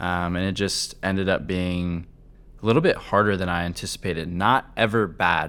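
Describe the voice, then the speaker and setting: Flat, monotone speech with an American accent comes through in a very clean recording with a silent background. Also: man. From US Midwest, Cincinnati. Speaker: podcast guest, husband of the host. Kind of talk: casual interview chat.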